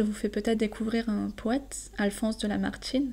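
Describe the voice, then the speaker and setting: A woman speaks at a fairly high pitch in a calm, relaxed, dark and mellow tone, somewhat breathy. Her pace is fairly quick and her intonation monotone and flat. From southern France. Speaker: French teacher. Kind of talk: poetry explanation for learners. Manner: halting with fillers.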